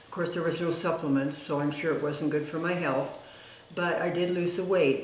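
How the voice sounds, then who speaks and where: At a moderate pace, a woman speaks with a very deep, low pitch and fairly even intonation, amid noticeable background noise and audible room echo. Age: 80s+. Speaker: retired diet author. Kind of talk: personal testimony to camera. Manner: halting, many fillers.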